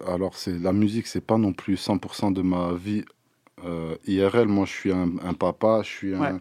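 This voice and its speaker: A man speaks very slowly with a very deep, low pitch and a dark, mellow tone. The sound is dry and close with no echo, and his intonation is fairly even. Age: 30s. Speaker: rapper. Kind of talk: interview.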